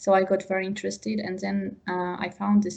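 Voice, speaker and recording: With a Georgian accent, a woman speaks at a moderate pace and a medium pitch. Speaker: wine tourism professional. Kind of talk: interview. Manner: halting.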